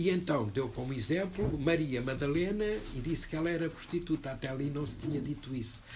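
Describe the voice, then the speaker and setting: A man with a somewhat breathy, fairly high voice speaks at a moderate pace with ordinary pitch variation, and the room echo is audible. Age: 70s. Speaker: book presenter. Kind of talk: panel discussion. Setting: bookshop event with audience.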